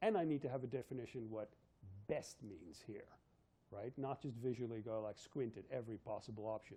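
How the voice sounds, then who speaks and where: Talking at a fairly quick pace, a man uses a medium pitch with ordinary variation and a dark, mellow tone. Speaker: university physics lecturer. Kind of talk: lecture. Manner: fast.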